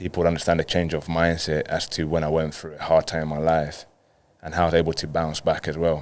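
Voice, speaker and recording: Over a silent background in a very clean recording, a man with a London accent talks fairly quickly in a very deep, low voice and monotone, flat intonation. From Colombia, then London from age ten. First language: Spanish. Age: 30s. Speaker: professional footballer. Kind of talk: podcast interview.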